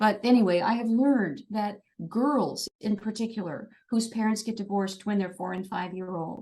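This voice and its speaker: Somewhat breathy and dark, mellow in tone, a woman with a fairly high pitch talks at a moderate pace with ordinary pitch variation. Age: 60s. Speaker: dance fitness instructor and speaker. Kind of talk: podcast interview. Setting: podcast interview. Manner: animated.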